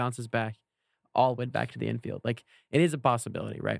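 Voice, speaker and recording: A man's medium-pitched voice, a normal speaking voice, at a fairly quick pace with ordinary pitch variation and a dry, close sound with no echo. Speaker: podcast co-host. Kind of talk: casual chat.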